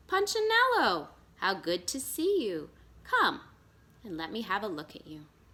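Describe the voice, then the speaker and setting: A put-on character voice at a moderate pace. Long pauses come often. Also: woman, fairly high pitch for a woman. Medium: read story. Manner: warm and kind.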